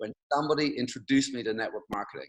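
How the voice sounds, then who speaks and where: A man with an English accent at medium pitch and a very fast pace. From England. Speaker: network marketing speaker. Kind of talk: motivational talk on video call. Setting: video call.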